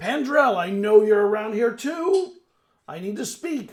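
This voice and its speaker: Putting on a gruff character voice, a man speaks at a moderate pace with a high pitch. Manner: demanding.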